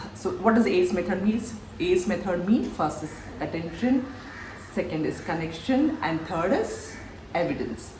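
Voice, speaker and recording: A woman at a medium pitch, moderate pace and very wide pitch swings, with long, frequent pauses, audible room echo and noticeable background noise. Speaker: recruiter and career coach. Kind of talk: tutorial.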